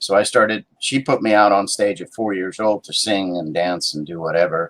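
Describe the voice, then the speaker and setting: With an unremarkable speaking voice, a man talks at a moderate pace and a fairly low pitch, using ordinary pitch variation and big swings in loudness. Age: 60s. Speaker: actor and writer. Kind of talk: interview.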